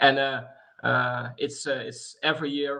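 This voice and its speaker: A bright, sharp tone with a Dutch accent. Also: man. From Netherlands. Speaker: sports organisation vice chair. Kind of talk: webinar welcome speech. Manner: halting, many fillers.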